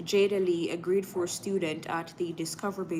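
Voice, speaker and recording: She speaks with a Jamaican accent at a medium pitch. Her pace is moderate. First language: Jamaican patois. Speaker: live news streamer. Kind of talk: live stream news reading with chat; casual chat. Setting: live stream.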